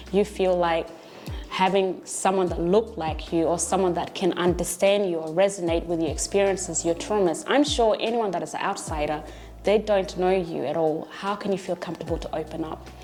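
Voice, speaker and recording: Against noticeable background noise, a woman with a fairly low pitch talks at a fairly quick pace with fairly even intonation. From came to Australia at age eleven. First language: not English. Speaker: teacher and learning centre founder. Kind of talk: documentary interview.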